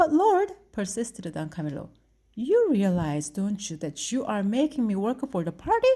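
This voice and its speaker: A woman's dark, mellow, somewhat breathy voice at a medium pitch, with very wide pitch swings, on a very clean recording with a silent background. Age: 50s. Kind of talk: read story.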